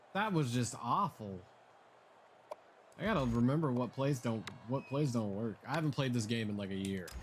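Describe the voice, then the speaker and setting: An American-accented man at medium pitch, with lively intonation, a moderate pace and long, frequent pauses. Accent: southern accent comes out when excited. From Oklahoma. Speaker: video game streamer. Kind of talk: live gaming stream chat. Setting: live stream from home. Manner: animated.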